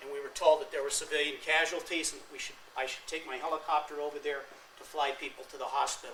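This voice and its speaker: Talking at a very fast pace, a man with a fairly high pitch and monotone, flat intonation swings widely in loudness amid audible room echo. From California. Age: 50s. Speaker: war veteran. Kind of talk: lecture.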